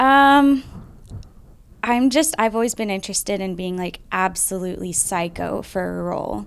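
Speaking at a moderate pace, a woman with a plain, everyday voice uses lively intonation around a medium pitch. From US, Air Force family, moved around. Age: 20s. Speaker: actress and model. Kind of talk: casual chat.

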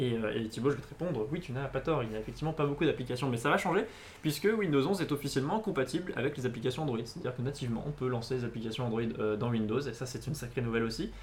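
A man with a medium pitch talks at a very fast pace with lively intonation over noticeable background noise. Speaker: tech news show host. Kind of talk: casual tech news chat. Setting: studio, live stream.

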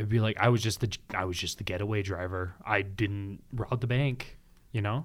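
In a very clean recording with a silent background, a man speaks with fairly even intonation and a fairly low pitch, in a plain, everyday voice. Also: moderate pace. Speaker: podcast host. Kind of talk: casual chat.

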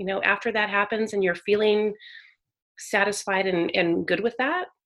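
Using an unremarkable speaking voice, a woman with an American accent talks at a moderate pace and a fairly high pitch. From Northern California. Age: 40s. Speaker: author. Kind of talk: casual interview. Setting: remote call.

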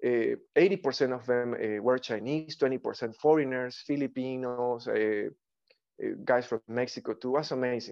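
A man with a Spanish accent speaks at a medium pitch and a fairly slow pace, his intonation fairly even, over a quiet background. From Ecuador. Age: 40s. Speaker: artist and actor. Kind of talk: interview conversation. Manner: halting.

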